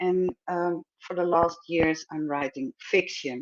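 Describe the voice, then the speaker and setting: A woman speaks with a Dutch accent. The sound is dry and close, with no echo. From Netherlands. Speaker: filmmaker and screenwriter. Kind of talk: pitch presentation. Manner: hesitant, many fillers.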